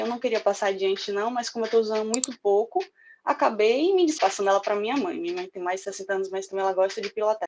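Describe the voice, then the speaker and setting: A woman's fairly high voice in a northeastern Brazilian accent, at a very fast pace over a quiet background. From Northeast Brazil. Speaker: public security worker and motorcyclist. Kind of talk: interview answer recorded online.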